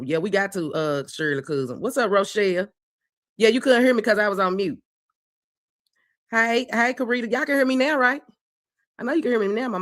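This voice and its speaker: A woman's fairly high voice with very wide pitch swings, a fairly quick pace and long, frequent pauses. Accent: American. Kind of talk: casual, chatty. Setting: online voice chat.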